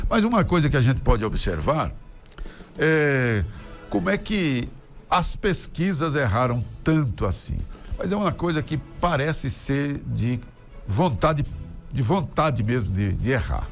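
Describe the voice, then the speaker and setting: Fairly slow delivery with long, frequent pauses, very wide pitch swings and music in the background. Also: man, fairly high pitch for a man. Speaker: radio and TV announcer, opinion commentator. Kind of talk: opinion commentary to camera, political talk.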